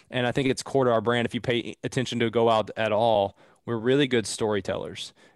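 An unremarkable speaking voice from a man with an American accent, medium in pitch, with fairly even intonation, on a very clean recording with a silent background. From US South, southeastern Kentucky. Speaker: startup founder and CEO. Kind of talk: casual interview.

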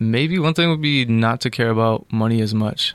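A man talks at a moderate pace in a plain, everyday voice, with an American accent. His pitch varies in an ordinary way. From upstate New York. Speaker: cinematographer. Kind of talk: casual chat.

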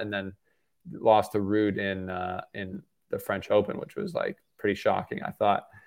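A man with a Canadian accent talks at a moderate pace in an ordinary speaking voice, pitched fairly low. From Canada. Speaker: tennis content creator. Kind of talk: casual chat.

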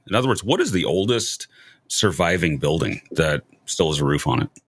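In an American accent, a man with a very deep, low voice and vocal fry speaks with lively intonation. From US Midwest, St. Louis. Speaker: podcast host. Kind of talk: interview.

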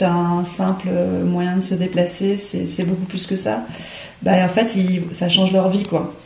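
A woman speaks very slowly in a medium pitch. Noticeable background noise runs beneath her. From Paris, France. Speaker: cycling educator. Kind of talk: interview. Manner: hesitant, filler-heavy.

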